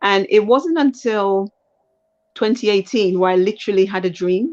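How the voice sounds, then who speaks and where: Speaking at a moderate pace with a British accent, a woman uses a medium pitch over a quiet background. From UK. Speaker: lawyer and life coach, aspiring politician. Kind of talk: interview. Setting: live stream. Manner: halting, with fillers.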